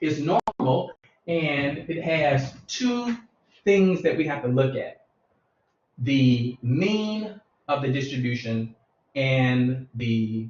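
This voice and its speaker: With a fairly high, somewhat breathy voice, a man speaks at a very slow pace with lively intonation and long, frequent pauses. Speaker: math teacher. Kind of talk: lecture. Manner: slow and methodical.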